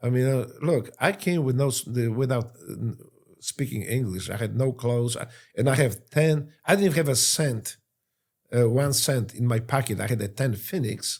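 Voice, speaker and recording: The recording is very clean, with a silent background. A man speaks at a medium pitch with ordinary pitch variation, somewhat breathy. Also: moderate pace. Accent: Polish. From Poland. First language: Polish. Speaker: war veteran. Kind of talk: interview. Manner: halting.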